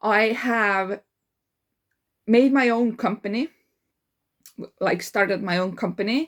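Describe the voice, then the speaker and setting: In an Estonian accent, a woman speaks at a fairly high pitch with ordinary pitch variation. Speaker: life coach. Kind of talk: casual monologue. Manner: halting, many fillers.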